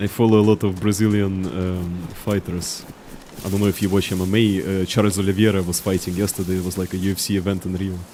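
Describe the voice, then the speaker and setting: Over noticeable background noise, the speaker rushes at a very fast pace in a strong Russian accent, with monotone, flat intonation. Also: man, very deep, low pitch for a man. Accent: heavy Russian. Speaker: video game streamer. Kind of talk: live gameplay commentary with chat. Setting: live stream, reading chat.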